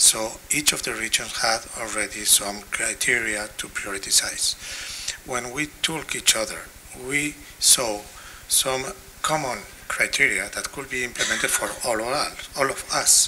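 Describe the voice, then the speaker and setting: Speaking with a Spanish accent at a fairly slow pace, a man keeps a medium pitch and ordinary pitch variation against noticeable background noise. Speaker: health technology assessment expert. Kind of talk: conference panel discussion. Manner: halting.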